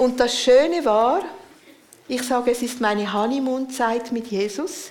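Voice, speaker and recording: Speaking at a fairly slow pace, a woman with a high-pitched voice is heard with audible room echo and noticeable background noise. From Central Switzerland. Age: 60s. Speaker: preacher and spiritual director. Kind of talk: sermon.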